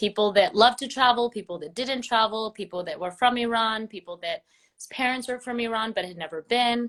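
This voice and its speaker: A woman with an American accent and an ordinary speaking voice talks at a fairly quick pace, her fairly high pitch showing ordinary variation while her loudness swings widely. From US West Coast, Los Angeles. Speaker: travel blogger. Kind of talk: interview. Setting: live Instagram video call.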